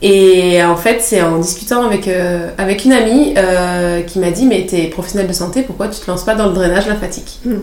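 With fairly even intonation at a medium pitch, the woman's voice comes through noticeable background noise and audible room echo. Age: 30s. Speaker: nurse turned lymphatic drainage therapist. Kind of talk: interview.

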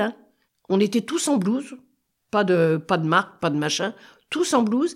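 A woman at a moderate pace in a very clean recording with a silent background. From France, Paris. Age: 80s+. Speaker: interviewee sharing childhood memories. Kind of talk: casual reminiscence interview. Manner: halting.

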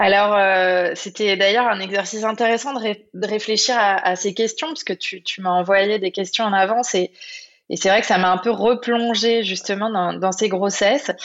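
A woman with a medium-pitched voice talks at a moderate pace, her intonation fairly even. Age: 30s. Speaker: entrepreneur and life coach. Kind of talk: casual interview. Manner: hesitant, many fillers.

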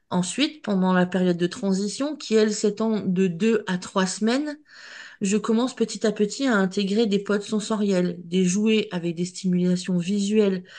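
Her voice is dark and mellow at a medium pitch, with ordinary pitch variation and very even loudness. The woman speaks at a fairly slow pace over a quiet background. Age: 40s. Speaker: dog breeder and trainer. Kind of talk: interview.

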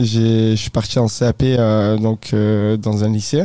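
A man with a dark, mellow tone delivers his words very slowly. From southern France, Provence. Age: 20s. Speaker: entrepreneur. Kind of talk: casual interview. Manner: hesitant, many fillers.

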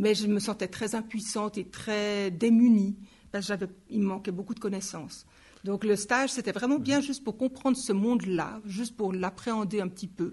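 Somewhat breathy, a woman of medium pitch speaks at a moderate pace with fairly even intonation. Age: 50s. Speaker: nursing lecturer. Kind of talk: interview.

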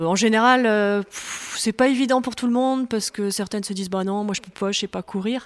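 Fairly even intonation and a moderate pace shape a woman's unremarkable speaking voice. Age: 40s. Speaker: amateur jogger, mother of five. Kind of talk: casual interview. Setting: at home.

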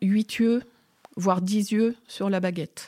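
A woman speaks at a very slow pace in a medium-pitched voice with a dark, mellow tone, ordinary pitch variation and a dry, close sound with no echo. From Burgundy, France. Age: 50s. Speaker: winemaker. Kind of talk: in-depth interview. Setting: on location at her winery. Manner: candid, outspoken.

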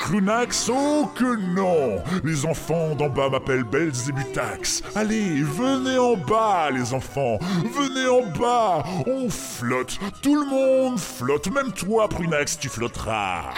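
Over loud music in the background, a man does a put-on character voice at a high pitch and a very slow pace. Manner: menacing, taunting.

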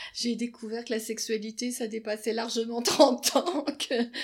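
An ordinary speaking voice at a fairly slow pace with ordinary pitch variation, on a very clean recording with a silent background. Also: woman. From Quebec. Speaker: psychoanalyst. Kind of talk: interview. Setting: her office.

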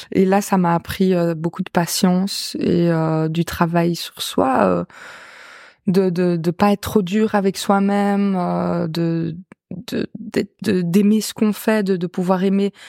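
A woman's dark, mellow voice at medium pitch, fairly even intonation and a very slow pace, dry and close with no echo on a very clean recording with a silent background. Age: 20s. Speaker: singer. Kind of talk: casual chat.

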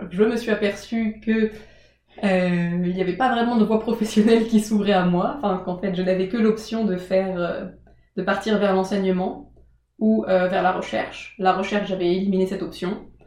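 A moderate pace broken by long, frequent pauses, with audible room echo. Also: woman. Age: 20s. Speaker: former prep-class student. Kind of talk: casual interview. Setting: in the host's home.

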